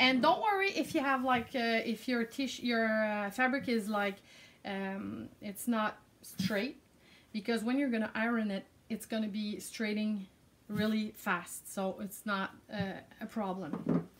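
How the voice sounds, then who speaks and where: Fairly high in pitch and somewhat breathy, a woman speaks with a French-Canadian accent. Her pace is fairly slow. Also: ordinary pitch variation. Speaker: craft product creator. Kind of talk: tutorial. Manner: halting.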